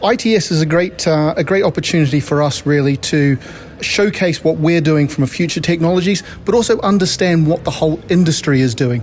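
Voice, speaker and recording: A man with an Antipodean accent speaks at a fairly quick pace with a fairly high pitch and ordinary pitch variation. His loudness stays very even over noticeable background noise. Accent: Antipodean twang. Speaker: technology company director. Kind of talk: interview. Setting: conference venue.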